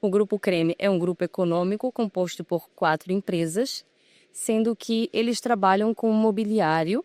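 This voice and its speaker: In a very clean, dry, close recording with a silent background and no echo, a woman with a Pará accent speaks at a moderate pace and medium pitch with ordinary pitch variation. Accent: Pará (northern Brazilian) accent, noticeable. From Brazil, Belém do Pará. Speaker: furniture company business manager. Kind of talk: interview. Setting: trade fair.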